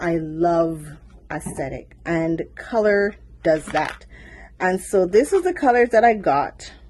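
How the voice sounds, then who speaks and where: Speaking at a very slow pace, a woman uses lively intonation in a fairly low voice. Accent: Caribbean. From Caribbean. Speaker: small business owner vlogger. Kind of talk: casual unboxing vlog.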